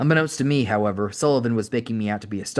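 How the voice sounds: Pitch shifts in an ordinary way as someone reads in a natural voice.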